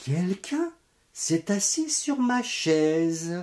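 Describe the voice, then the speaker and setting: This is a put-on character voice at a middle pitch. It moves at a very slow pace. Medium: read story.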